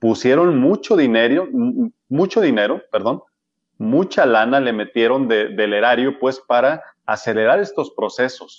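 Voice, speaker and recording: This is a plain, everyday voice with lively intonation. It moves at a moderate pace. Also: man. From Mexico, Sinaloa (Culiacán). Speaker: medical doctor. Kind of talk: interview.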